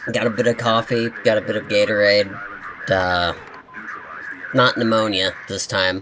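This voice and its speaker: A man's fairly low voice at a moderate pace, with fairly even intonation, long and frequent pauses, and noticeable background noise. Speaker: gaming youtuber. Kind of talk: gameplay commentary. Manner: casual, rambling.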